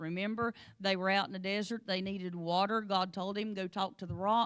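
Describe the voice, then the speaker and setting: Using an animated tone, a woman with an American accent and a medium pitch speaks at a fairly quick pace. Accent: strong rural hill accent, sounds like a hick. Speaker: Sunday school teacher, pastor's wife. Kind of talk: Bible lesson in church. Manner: animated, conversational.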